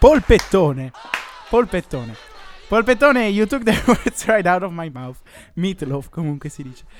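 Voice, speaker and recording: A man speaks fairly slowly at a high pitch with long, frequent pauses, very wide pitch swings and big swings in loudness, over noticeable background noise. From Como, northern Italy. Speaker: student radio co-host. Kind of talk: casual chat.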